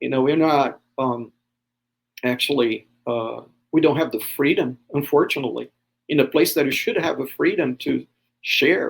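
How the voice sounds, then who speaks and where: A man talks at a moderate pace with a Brazilian accent. He leaves long, frequent pauses. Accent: Brazilian, jokes it is Texan. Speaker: pastor. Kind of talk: podcast interview. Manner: hesitant, many fillers.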